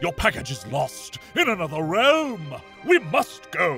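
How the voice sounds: Doing a cartoonish character voice, a man speaks high and bright with a sharp tone, vocal fry, and very wide pitch swings at a fairly slow pace, with faint music in the background.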